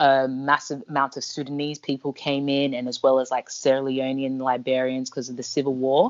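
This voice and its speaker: Very deep, low female speech in an Australian accent, fairly quick, with monotone, flat intonation. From Ghana. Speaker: podcast co-host. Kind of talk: casual chat.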